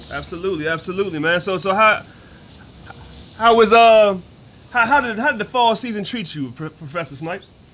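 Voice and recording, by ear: With lively intonation and a high pitch, a man talks at a fairly quick pace broken by long, frequent pauses. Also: fairly bright tone.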